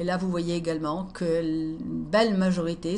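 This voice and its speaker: A woman talks at a medium pitch, somewhat breathy, in a monotone, flat intonation. Audible room echo surrounds her voice. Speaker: speaker presenting her own conference talk. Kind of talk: presentation to camera, translated conference talk. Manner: hesitant, many fillers.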